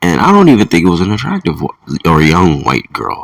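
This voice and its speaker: This man has a very deep, low voice. He talks at a moderate pace. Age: 30s. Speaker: solo video commentator. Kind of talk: casual monologue rant. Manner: halting, repeats words.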